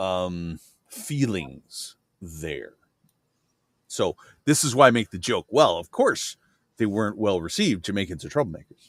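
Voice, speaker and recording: With long, frequent pauses, a man speaks at a fairly slow pace in a fairly low voice with lively intonation, the sound dry and close with no echo. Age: 40s. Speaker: livestream host. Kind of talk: casual chat.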